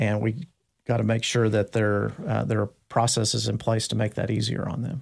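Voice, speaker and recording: With vocal fry and fairly even intonation, a man speaks at a moderate pace in a fairly low pitch. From Texas, Dallas. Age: 50s. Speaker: city manager. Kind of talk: interview. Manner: halting, many fillers.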